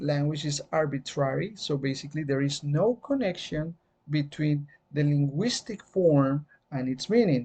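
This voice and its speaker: The speaker uses a Spanish accent and a moderate pace. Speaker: teacher. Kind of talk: lecture. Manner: hesitant, many fillers.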